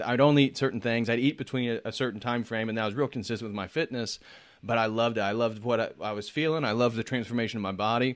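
A man talks at a very fast pace with an American accent, his pitch medium. The background is quiet. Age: 30s. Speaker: YouTube channel host. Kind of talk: casual chat.

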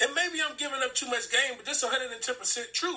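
With music in the background, a man speaks at a moderate pace in a raised, projected voice. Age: 30s. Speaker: podcast co-host. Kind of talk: casual chat. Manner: animated.

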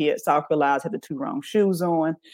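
A woman talks with an American accent at a fairly quick pace with lively intonation. She has a normal speaking voice, and the sound is dry and close with no echo. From US South, Birmingham, Alabama. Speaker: sex therapist. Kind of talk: interview on a live talk show.

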